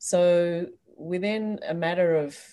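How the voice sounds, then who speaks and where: A woman speaks in an Australian accent on a very clean recording with a silent background. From Australia, Sydney. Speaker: expat resident of Hong Kong. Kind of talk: casual chat.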